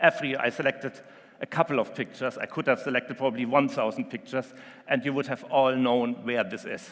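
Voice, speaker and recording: With a German accent, a man speaks at a medium pitch and ordinary pitch variation. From Germany. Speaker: marina company executive. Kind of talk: conference presentation. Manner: hesitant, frequent um fillers.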